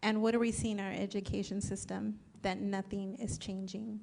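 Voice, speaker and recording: Speaking at a fairly quick pace, a woman with a Spanish accent keeps a medium pitch and a monotone, flat intonation. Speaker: political candidate. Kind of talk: candidate forum answer. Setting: public forum at a college.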